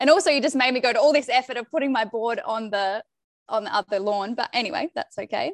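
Talking at a very fast pace, a woman uses an Australian accent and a high pitch with ordinary pitch variation. The sound is dry and close, with no echo. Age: 20s. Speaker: podcast guest sharing her love story. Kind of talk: casual interview chat.

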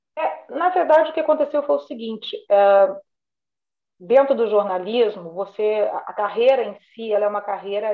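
Speaking at a moderate pace, a woman with an unremarkable speaking voice uses lively intonation at a medium pitch. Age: 50s. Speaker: retired bank manager. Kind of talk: casual interview.

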